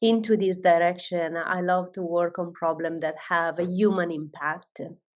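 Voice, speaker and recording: A woman's intonation is fairly even. She talks at a fairly slow pace. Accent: Italian. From Italy. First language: Italian. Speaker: AI research director. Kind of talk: panel discussion.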